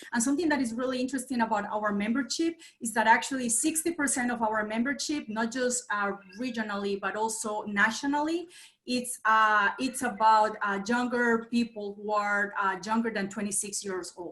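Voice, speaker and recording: A woman with a Colombian accent talks at a moderate pace, her fairly high voice showing ordinary pitch variation. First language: Spanish. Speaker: nonprofit association president. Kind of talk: meeting host introduction. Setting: video call. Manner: hesitant, many fillers.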